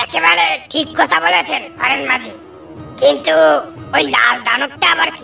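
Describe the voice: Over clear background music, a cartoonish character voice is raised and projected, swinging very widely in pitch. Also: man, extremely high pitch for a man, moderate pace.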